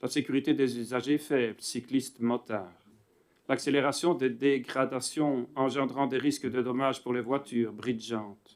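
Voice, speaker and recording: On a very clean recording with a silent background, a man speaks fairly slowly at a medium pitch with fairly even intonation. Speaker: municipal councillor. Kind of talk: formal question read aloud. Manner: loud.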